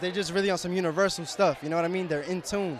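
Over light background noise, a man with an American accent holds fairly even intonation at a high pitch, with dry sound and no echo. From New York. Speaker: viral social media personality; interviewee. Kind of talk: casual interview. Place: street. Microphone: handheld.

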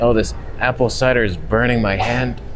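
A man with ordinary pitch variation, clear background noise behind him.

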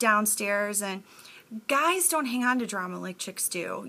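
A woman speaks at a fairly slow pace in a fairly high voice with a bright, sharp tone. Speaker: TV recap vlogger. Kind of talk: casual vlog recap. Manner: chatty, casual, with fillers. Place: home room. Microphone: webcam.

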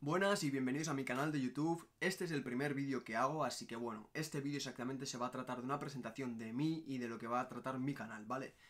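A man at a very fast pace, with hardly any pauses. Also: ordinary pitch variation. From Basque Country, Spain (Barakaldo, Bilbao); Basque Country, Spain. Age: 20s. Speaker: travel vlogger. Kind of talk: casual vlog monologue. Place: home room. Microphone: phone near.

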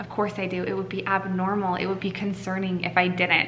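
A woman is speaking over light background noise. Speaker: parent vlogger. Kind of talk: casual vlog chat. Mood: emotional, worried, earnest. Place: home room. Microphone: phone near.

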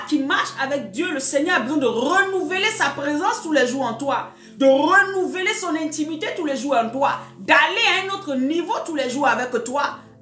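In a room with audible echo and light background noise, a woman with a high pitch and a bright, sharp tone speaks at a moderate pace. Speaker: preacher. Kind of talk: sermon. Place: home room. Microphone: phone near.

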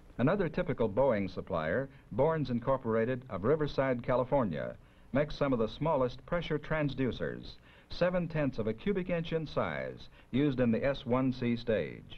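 Using a plain, everyday voice, a man speaks at medium pitch and a moderate pace with lively intonation. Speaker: documentary narrator. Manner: formal; measured, even-paced and matter-of-fact.

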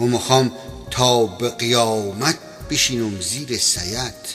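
With music in the background, a man delivers his words at a very slow pace. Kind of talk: poetry reading over music.

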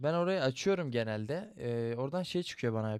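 A fairly slow, animated man's voice at medium pitch, dry and close with no echo. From Turkey, Ankara. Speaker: gaming youtuber. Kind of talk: casual gameplay commentary.

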